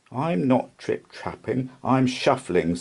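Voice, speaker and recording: This is a put-on character voice from a man. He speaks at a medium pitch and a fairly slow pace. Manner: timid, trembling.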